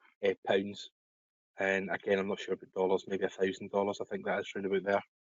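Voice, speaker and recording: A man talks with a Scottish accent. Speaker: web services business owner. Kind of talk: webinar Q&A. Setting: online webinar call.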